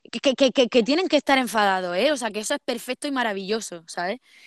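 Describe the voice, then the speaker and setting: Here a woman speaks with an Andalusian accent at a fairly high pitch. Her pitch variation is ordinary, and the sound is dry and close with no echo. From Andalusia, Spain (Almería). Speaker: poet and visual artist. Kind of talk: casual interview. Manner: animated. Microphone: poor sound quality.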